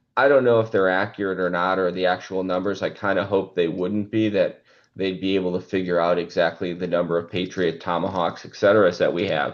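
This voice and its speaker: With hardly any pauses, a man speaks at a very deep, low pitch with fairly even intonation. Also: fairly quick pace. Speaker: market research analyst. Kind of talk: webinar presentation. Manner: fast.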